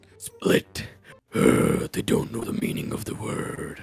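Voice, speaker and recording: A man uses a raspy, put-on character voice. He speaks at a fairly slow pace. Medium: role play. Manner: slow, brooding.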